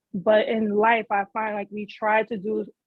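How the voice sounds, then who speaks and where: This is a woman speaking. She goes at a fairly slow pace. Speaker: podcast co-host, parent. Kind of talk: casual podcast chat. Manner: loud.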